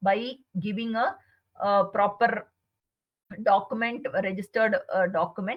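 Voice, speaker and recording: This woman talks at a fairly slow pace in a fairly high pitch. Her voice is somewhat breathy. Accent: Indian. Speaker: chartered accountant. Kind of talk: webinar presentation. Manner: hesitant, many fillers.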